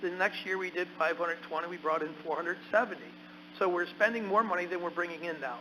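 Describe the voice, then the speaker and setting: Over noticeable background noise, a man speaks loudly and fairly quickly in a high voice with ordinary pitch variation. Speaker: county legislator. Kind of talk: council meeting debate.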